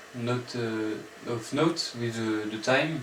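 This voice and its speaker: A man with a French accent at a very slow pace, his intonation fairly even, with light background noise and audible room echo. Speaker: music student applicant; music theory teacher. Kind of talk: audition presentation. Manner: halting, many fillers. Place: home room. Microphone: camera far.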